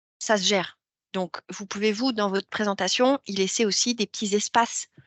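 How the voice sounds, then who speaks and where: This woman talks at a moderate pace with a medium pitch. Her intonation stays fairly even. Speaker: career coach. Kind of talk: workshop talk. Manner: hesitant fillers.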